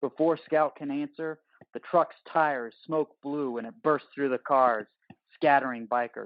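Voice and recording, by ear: A man at medium pitch, with fairly even intonation and a fairly slow pace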